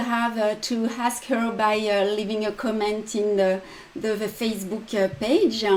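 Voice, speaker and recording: A woman speaks in a French accent at a fairly slow pace. Her pitch is fairly high. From France. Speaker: embroidery designer and teacher. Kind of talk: tutorial. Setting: live stream. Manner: halting with many fillers.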